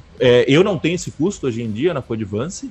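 At a moderate pace, a man with a fairly high pitch speaks in a somewhat breathy voice with lively intonation. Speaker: podcast co-host, programmer. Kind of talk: casual chat. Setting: home studio, live stream.

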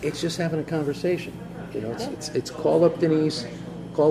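Noticeable background noise and audible room echo surround a man whose intonation is fairly even. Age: 50s. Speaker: local podcast host. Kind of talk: casual interview. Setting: in a cafe.

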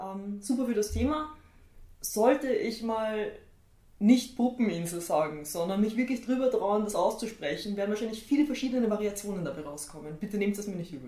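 In a Viennese accent, a woman talks at a fairly quick pace with a fairly high pitch and lively intonation. Her loudness swings widely, with noticeable background noise and audible room echo. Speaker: tattoo artist and illustrator. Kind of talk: casual chat.

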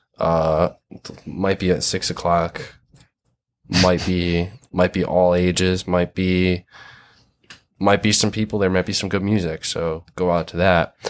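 A man with a Michigan accent speaks in a very deep, low, monotone voice at a fairly slow pace, with long, frequent pauses. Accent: Midwestern US (Michigan). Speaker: hardcore band musician and zine maker. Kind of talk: casual chat.

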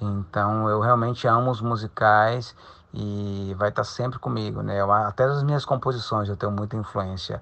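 At a moderate pace, a man speaks in a plain, everyday voice at medium pitch with ordinary pitch variation. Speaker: rock singer and musical actor. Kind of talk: interview.

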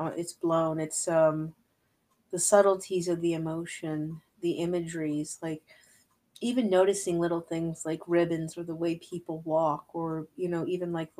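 At a fairly slow pace, a woman speaks low with a slightly mellow tone and little pitch movement.

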